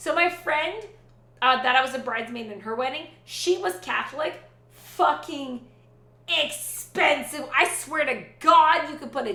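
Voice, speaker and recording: A raised, projected, animated voice at a moderate pace, with lively intonation, big swings in loudness, audible room echo and noticeable background noise. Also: woman. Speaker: Twitch streamer. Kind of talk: casual chat.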